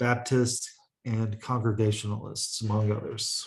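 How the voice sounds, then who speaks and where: A man's somewhat breathy voice. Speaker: college lecturer. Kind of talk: lecture. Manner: halting, with frequent uh fillers.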